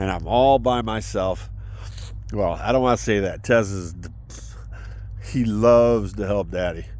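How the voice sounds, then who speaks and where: A man speaks at a fairly low pitch with fairly even intonation. Long, frequent pauses break up his speech, and audible room echo surrounds it. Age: 60s. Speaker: military veteran vlogger. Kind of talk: personal vlog monologue. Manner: halting, many fillers.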